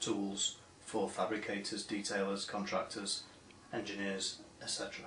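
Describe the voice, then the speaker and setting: Spoken at a moderate pace with an American accent, the voice comes through noticeable background noise and audible room echo. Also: man. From northern England, Manchester. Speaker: industry association director. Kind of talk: recorded video address.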